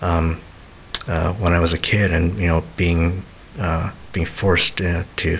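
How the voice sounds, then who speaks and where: A soft-spoken man with a very deep, low pitch, fairly even intonation and a fairly slow pace, over noticeable background noise. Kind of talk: casual talk to camera, autobiographical rambling. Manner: soft-spoken, rambling.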